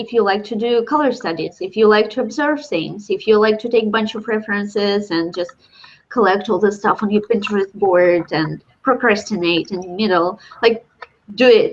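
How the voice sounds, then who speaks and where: The speaker talks at a fairly quick pace with a Russian accent. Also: woman. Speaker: illustrator. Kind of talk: casual chat.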